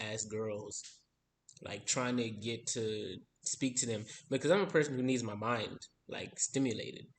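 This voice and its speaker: A man with an American accent speaks in an unremarkable speaking voice at medium pitch, his intonation fairly even. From Texas. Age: 20s. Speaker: musician vlogger. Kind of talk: casual monologue vlog.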